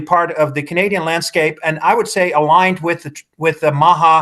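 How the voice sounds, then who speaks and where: Fairly high in pitch, a man talks at a fairly quick pace with a Dutch accent. His intonation stays fairly even. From Netherlands. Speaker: politician. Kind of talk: political interview. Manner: halting.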